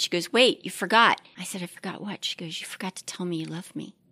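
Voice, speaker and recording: Here is a woman with a plain, everyday voice and an American accent, pitched fairly low. Her pitch varies an ordinary amount, and the sound is dry and close with no echo. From Maryland, Chesapeake Bay. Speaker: church member, grandmother. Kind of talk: casual interview.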